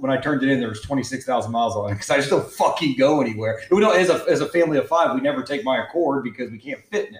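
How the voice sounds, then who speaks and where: A man talks very fast at a fairly high pitch, with hardly any pauses and lively intonation. His loudness swings widely over noticeable background noise. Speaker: podcast host. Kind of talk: casual chat.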